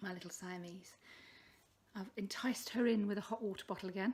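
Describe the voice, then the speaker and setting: A somewhat breathy woman talks at a medium pitch, her pitch varying in an ordinary way. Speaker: crafting podcaster. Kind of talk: casual vlog chat. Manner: hesitant, many fillers. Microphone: poor sound quality.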